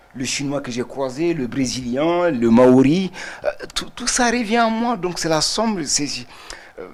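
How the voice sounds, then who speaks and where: The speaker talks at a fairly slow pace with very wide pitch swings over noticeable background noise. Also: man. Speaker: artist. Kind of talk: TV interview.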